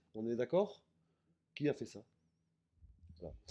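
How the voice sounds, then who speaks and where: A man's dark, mellow voice at medium pitch and a fairly slow pace. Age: 60s. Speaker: music producer. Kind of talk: interview. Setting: backstage at an event. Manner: halting.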